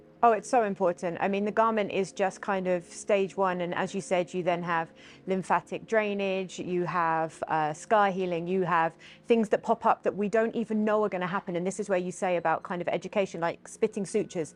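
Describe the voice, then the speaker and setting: Over a quiet background, a woman uses a normal speaking voice at a medium pitch, talking at a fairly quick pace with fairly even intonation. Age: 40s. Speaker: social media influencer and former model. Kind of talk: podcast interview.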